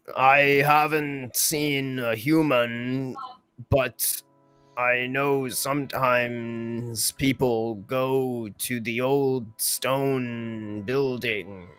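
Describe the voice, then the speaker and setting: A man puts on a character voice at a medium pitch, going very slowly, with faint music in the background. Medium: actual play. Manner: slow, literal, matter-of-fact.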